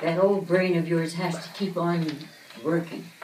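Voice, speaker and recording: A woman with a Canadian Prairie accent talks at a moderate pace, with audible room echo and noticeable background noise. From Saskatchewan, Canada. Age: 80s+. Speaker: centenarian school guest. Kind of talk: answering children's questions. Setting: kindergarten classroom.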